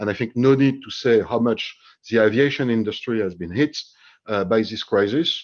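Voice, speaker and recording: The speaker talks with a French accent over a quiet background. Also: man, medium pitch for a man, ordinary pitch variation, moderate pace. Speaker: HR executive, webinar panelist. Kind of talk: panel discussion. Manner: halting, many fillers.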